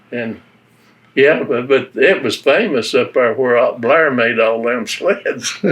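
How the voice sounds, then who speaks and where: Speaking very slowly in an Appalachian accent, a man with a medium-pitched voice uses ordinary pitch variation. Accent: Appalachian Southern US. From western North Carolina (Avery County, Appalachia). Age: 90s. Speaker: war veteran. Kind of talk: oral history interview.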